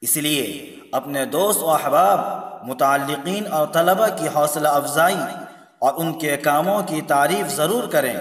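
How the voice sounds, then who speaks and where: Fairly high-pitched male speech with ordinary pitch variation and noticeable background noise. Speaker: Islamic scholar and teacher at a madrasa. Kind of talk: Islamic sermon (bayan).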